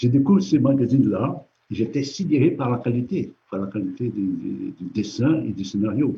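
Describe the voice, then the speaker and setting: Using lively intonation, a man speaks at a moderate pace with a medium pitch and a somewhat breathy voice. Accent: Portuguese. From Brazil (São Paulo). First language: Portuguese (speaking French). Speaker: comic book artist. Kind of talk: interview. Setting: live stream from an art gallery. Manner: halting.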